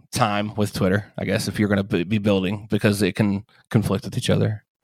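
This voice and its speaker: A man speaks with vocal fry. His intonation is monotone and flat. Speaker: no-code developer and web designer. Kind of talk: interview.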